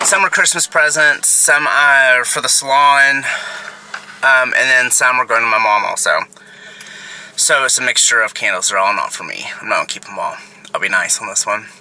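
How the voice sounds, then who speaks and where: A man talks at a moderate pace, leaving long, frequent pauses. The sound is dry, with no echo. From Texas. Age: 30s. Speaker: lifestyle vlogger. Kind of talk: casual vlog talk to camera. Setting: in a car. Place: car. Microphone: phone near.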